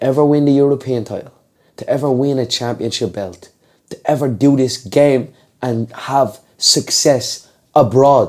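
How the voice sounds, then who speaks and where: The voice is a man's, pitched in the medium range. He talks fairly slowly. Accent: Dublin. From Ireland, Dublin. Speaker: MMA fighter. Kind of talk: podcast interview.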